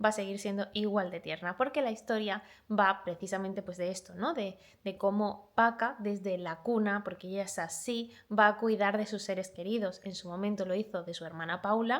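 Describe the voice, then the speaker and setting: At a moderate pace, a woman with a slight Málaga accent talks in a medium pitch with fairly even intonation. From Málaga, Andalusia, Spain. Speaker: booktuber. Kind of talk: book review vlog.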